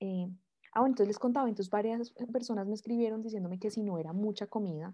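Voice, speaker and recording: A woman's medium-pitched voice, dark and mellow in tone, at a very fast pace with ordinary pitch variation against a quiet background. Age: 20s. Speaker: lawyer and mother, podcast guest. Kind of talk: personal testimony in interview. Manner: hesitant, with frequent fillers.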